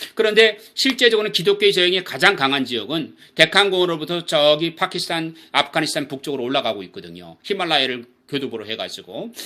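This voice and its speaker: A man with a bright, sharp tone, vocal fry and fairly high pitch, very wide pitch swings and big swings in loudness, at a very fast pace with hardly any pauses. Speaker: missions lecturer. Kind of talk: lecture.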